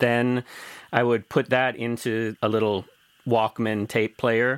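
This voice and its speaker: In a dry, close sound with no echo, a man talks at a fairly slow pace with a medium pitch and a normal speaking voice. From US Midwest, rural Missouri. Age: 50s. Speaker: DJ and music producer. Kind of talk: interview. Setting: remote call.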